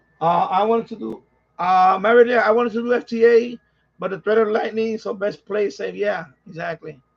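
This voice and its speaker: A man speaks at a high pitch with a New York accent. His pace is fairly quick and his intonation fairly even. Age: 50s. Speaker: radio hobbyist streamer. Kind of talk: casual live-stream chat.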